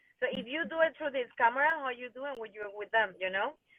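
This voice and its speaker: Someone speaks at a fairly quick pace with a Venezuelan accent and ordinary pitch variation. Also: woman. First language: Spanish. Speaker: fitness and dance studio owner. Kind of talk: interview chat. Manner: halting.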